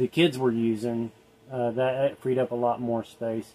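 The speaker is a man. He talks fairly slowly. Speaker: travel vlogger. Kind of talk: casual vlog chat. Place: home room. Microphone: phone near.

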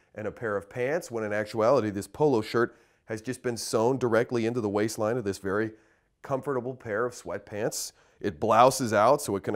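The setting behind him is quiet. A man talks at a moderate pace, his pitch moving in an ordinary way. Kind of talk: product presentation. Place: studio. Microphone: lapel.

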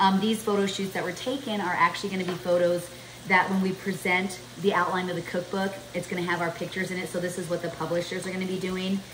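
Over noticeable background noise, a woman speaks at a very fast pace with monotone, flat intonation. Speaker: home cook vlogger. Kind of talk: cooking tutorial chat. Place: kitchen. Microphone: camera far.

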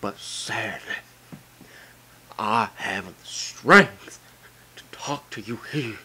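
A man puts on a character voice at a medium pitch, with light background noise behind him. He speaks at a very slow pace with long, frequent pauses. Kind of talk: comic amateur video game dub. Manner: solemn, pleading.

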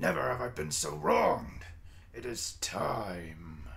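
A man in a put-on character voice speaks at a fairly slow pace over light background noise. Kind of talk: comic villain overacting. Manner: raging, menacing, then despairing.

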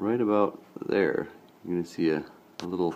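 Light background noise sits behind the speaker. He is a man talking at a moderate pace. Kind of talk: tutorial. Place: home room. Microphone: phone near.

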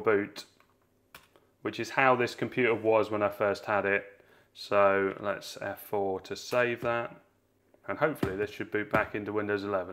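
Delivered in a plain, everyday voice, the speech moves at a moderate pace with fairly even intonation. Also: man. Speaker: tech reviewer. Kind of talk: tutorial. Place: home room.

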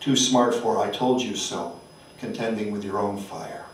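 With audible room echo and light background noise, a man speaks. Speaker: poet. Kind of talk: poetry reading. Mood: solemn, measured. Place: hall.

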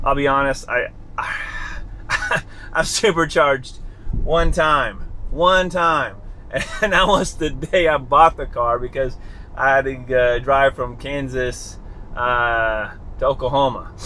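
A man at a very slow pace over light background noise. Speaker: car owner vlogger. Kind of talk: casual vlog chat. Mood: cheerful, relaxed. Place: car. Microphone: phone near.

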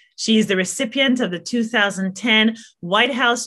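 A woman talks with a bright, sharp tone at a fairly slow pace, using ordinary pitch variation. The background is quiet. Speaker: professor. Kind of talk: formal opening remarks. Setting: video call. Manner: formal. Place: home room. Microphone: webcam.

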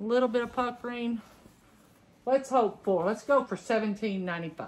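A woman at a medium pitch, with a Southern US accent and a fairly quick pace. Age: 50s. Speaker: clothing reseller, retired teacher. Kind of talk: casual unboxing vlog. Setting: home recording. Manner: chatty, conversational. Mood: upbeat, playful. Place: home room. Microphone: phone near.

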